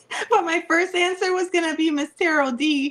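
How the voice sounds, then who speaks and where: Animated tone from a woman at a fairly slow pace, with noticeable background noise. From Puerto Rican background. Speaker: tarot reader. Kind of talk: casual chat.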